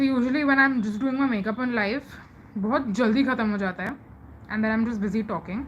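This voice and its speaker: Speaking at a fairly quick pace in an Indian accent, a woman uses a fairly high pitch with ordinary pitch variation. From India, Mumbai. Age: 20s. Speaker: live streamer. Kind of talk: casual chat. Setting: live stream.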